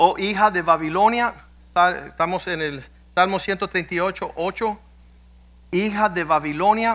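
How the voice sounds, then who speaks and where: A man speaks very slowly in a high pitch, leaving long, frequent pauses. The recording is very clean, with a silent background. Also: ordinary pitch variation. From US, Cuban-American family. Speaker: pastor. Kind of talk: sermon. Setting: church.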